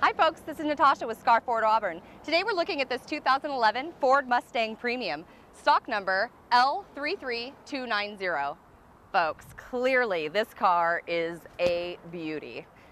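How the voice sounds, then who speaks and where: Against light background noise, a woman with a bright, sharp tone speaks at a very slow pace, her pitch swinging very widely. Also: dry sound with no echo. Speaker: car salesperson. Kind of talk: sales presentation. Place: street.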